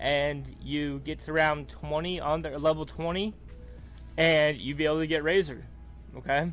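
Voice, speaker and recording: The man keeps a moderate pace. Music can be heard in the background. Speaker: gaming streamer. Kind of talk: gameplay tutorial. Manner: halting, many fillers.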